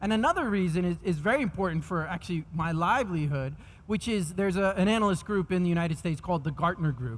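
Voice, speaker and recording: A man speaks very fast with a New York accent. His voice is high-pitched. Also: ordinary pitch variation. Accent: New York American. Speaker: technology executive speaking at a conference. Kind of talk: conference keynote presentation. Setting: stage with audience.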